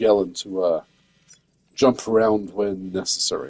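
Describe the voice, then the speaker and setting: A man speaks quietly and fairly slowly, the sound dry and close with no echo. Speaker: gaming streamer. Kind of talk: live gameplay stream chat. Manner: quiet, hesitant with many fillers.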